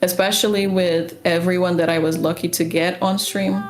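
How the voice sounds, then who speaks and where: Noticeable background noise sits behind a woman with a Portuguese accent and a fairly low pitch. She talks at a moderate pace with fairly even intonation. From Portugal (Lisbon). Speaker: game developer and streamer. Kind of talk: casual podcast chat.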